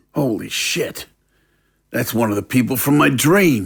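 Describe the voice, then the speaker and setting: A man puts on a raspy character voice at medium pitch, swinging very widely in pitch at a moderate pace. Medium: audio drama. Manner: irritable, crude.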